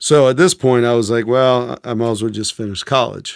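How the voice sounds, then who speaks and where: With an unremarkable speaking voice and an American accent, a man talks fairly quickly at a medium pitch with fairly even intonation, and the recording is very clean with a silent background. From Maryland, outside Washington DC (Silver Spring). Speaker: former Green Beret. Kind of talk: interview storytelling. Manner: casual, with fillers and repetitions.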